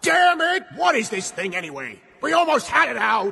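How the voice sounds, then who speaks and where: A man shouts in a cartoonish character voice at an extremely high pitch, swinging his pitch very widely. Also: moderate pace. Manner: loud, impulsive.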